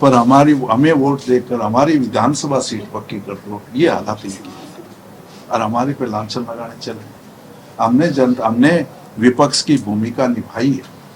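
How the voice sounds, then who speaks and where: Against noticeable background noise, the pitch of the speech shifts by an ordinary amount. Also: man. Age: 70s. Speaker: politician. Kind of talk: interview.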